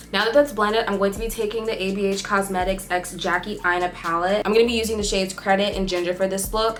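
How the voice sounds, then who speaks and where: A woman at a medium pitch talks at a very fast pace with hardly any pauses and fairly even intonation, over noticeable background noise. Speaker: beauty vlogger. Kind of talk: tutorial. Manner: casual, chatty.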